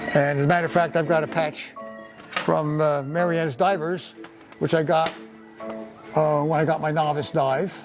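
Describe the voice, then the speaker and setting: A man with a New Jersey accent speaks at a fairly high pitch in a flat monotone, taking long, frequent pauses while music plays in the background. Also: moderate pace. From Paterson, New Jersey. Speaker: retired engineer. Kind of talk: interview answer, life story. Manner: hesitant, many fillers.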